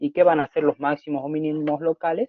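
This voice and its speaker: A man with a fairly high pitch speaks at a moderate pace in an ordinary speaking voice. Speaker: math teacher. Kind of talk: lecture. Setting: video call.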